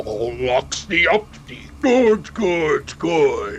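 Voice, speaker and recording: A man puts on a raspy character voice. He speaks very slowly over clear background noise. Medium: read story. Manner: halting, broken speech.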